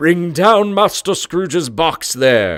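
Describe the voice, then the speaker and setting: Using a put-on character voice, a man speaks very slowly at high pitch with lively intonation. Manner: harsh, commanding, shouting.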